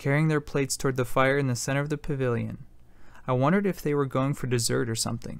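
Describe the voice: The clip is plain reading aloud. Words are read out without anything more.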